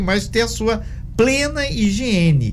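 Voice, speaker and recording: Male speech with audible room echo over noticeable background noise. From Minas Gerais, Brazil. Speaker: radio host. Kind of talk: radio interview.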